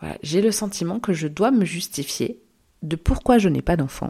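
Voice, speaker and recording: A woman with a fairly low pitch and vocal fry speaks at a fairly slow pace with lively intonation. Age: 30s. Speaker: podcast host. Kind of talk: solo monologue podcast.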